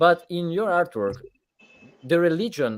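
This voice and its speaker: Speaking very slowly, a man uses an Italian accent. His pitch is high, with very wide swings. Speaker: podcast host. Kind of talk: live interview. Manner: halting.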